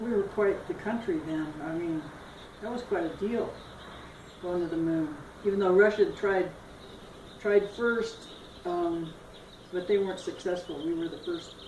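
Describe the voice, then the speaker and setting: A woman's ordinary speaking voice with an American accent, medium pitch and ordinary pitch variation. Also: moderate pace. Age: 60s. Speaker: grandmother. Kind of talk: interview answer.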